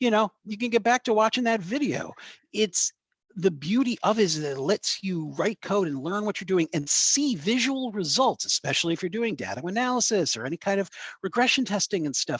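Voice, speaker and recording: High-pitched for a man, this speaker moves at a fairly quick pace with lively intonation. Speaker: tech presenter. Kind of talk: presentation. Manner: fast; casual, filler-heavy.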